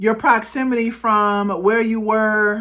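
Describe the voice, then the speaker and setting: A woman speaks in a fairly high, animated voice. The recording is very clean, with a silent background. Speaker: tarot card reader and ancestral guidance practitioner. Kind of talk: pick-a-card tarot reading to camera. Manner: loud; casual, animated, conversational.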